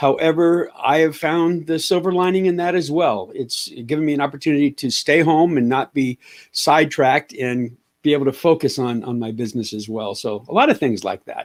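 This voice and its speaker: A man with an American accent and a plain, everyday voice speaks at a fairly high pitch and fairly quick pace. His pitch variation is ordinary, and the recording is very clean with a silent background. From US West Coast, Los Angeles. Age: 60s. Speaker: business coach, army veteran. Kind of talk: interview. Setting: radio show.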